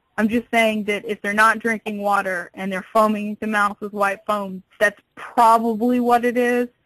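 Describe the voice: A woman at medium pitch speaks with a fairly bright tone, little pitch movement and a moderate pace.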